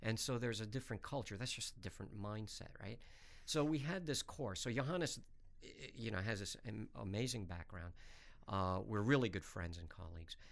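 A man with an American accent talks in a fairly low pitch. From US Northeast (New York, Hartford). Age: 50s. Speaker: professor. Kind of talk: interview. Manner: animated.

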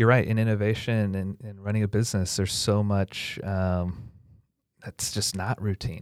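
In a very clean recording with a silent background, a man with an American accent speaks in a fairly low pitch with monotone, flat intonation and a dry, close sound with no echo. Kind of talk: interview.

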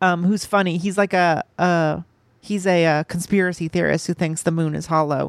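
At a moderate pace, a woman with a fairly low pitch speaks in monotone, flat intonation, in a dry, close, echo-free, very clean recording with a silent background. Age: 30s. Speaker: movie podcast co-host. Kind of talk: casual chat.

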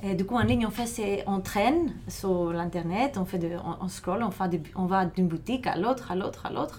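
A woman with a Greek accent at a medium pitch. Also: ordinary pitch variation, moderate pace. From Greece, Thessaloniki. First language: Greek (speaking French). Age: 30s. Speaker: film programmer. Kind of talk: interview. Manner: halting.

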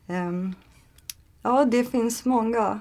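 Very slowly and with ordinary pitch variation, a woman speaks in a Turkish accent. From Turkey. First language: Turkish (speaking Swedish). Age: 30s. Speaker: language learner, aspiring translator. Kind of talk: interview. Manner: halting, many fillers.

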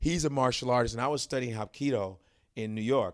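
A man with an ordinary speaking voice at medium pitch, in an American accent, with lively intonation and a fairly quick pace, in a very clean recording with a silent background. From Chicago, North Side. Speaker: stand-up comedian. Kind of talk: casual chat.

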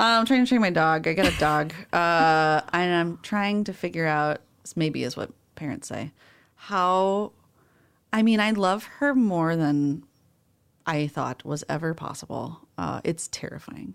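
On a very clean recording with a silent background, a woman with a normal speaking voice talks at a fairly low pitch with lively intonation. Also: fairly slow pace. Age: 30s. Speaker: librarian podcast co-host. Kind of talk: casual chat. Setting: studio.

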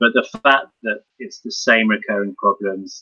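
A man speaks fairly slowly with a bright, sharp tone, the sound dry and close with no echo.

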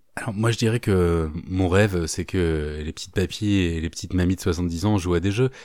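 A man speaks at a moderate pace with a very deep, low pitch and ordinary pitch variation, hardly pausing. The recording is very clean with a silent background. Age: 40s. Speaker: YouTuber, art commentator. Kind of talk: casual interview chat.

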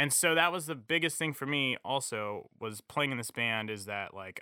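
This man has an ordinary speaking voice and lively intonation. He talks at a moderate pace. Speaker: musician. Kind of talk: casual chat.

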